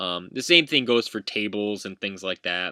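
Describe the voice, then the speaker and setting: A man's fairly low voice has a bright, sharp tone. The sound is dry and close with no echo, on a very clean recording with a silent background. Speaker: university instructor. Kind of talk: lecture. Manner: frequent filler words; halting.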